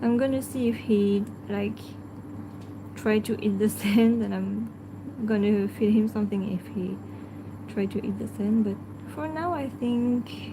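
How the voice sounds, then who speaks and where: A woman talks fairly slowly, pausing long and often, as noticeable background noise carries on. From France. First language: French. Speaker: pet channel host. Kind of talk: live stream chat. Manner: halting.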